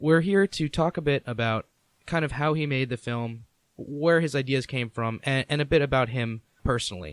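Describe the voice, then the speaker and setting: A man has a normal speaking voice at medium pitch and a moderate pace. The sound is dry and close, with no echo. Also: ordinary pitch variation. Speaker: podcast host. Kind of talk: podcast interview questions. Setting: Skype call.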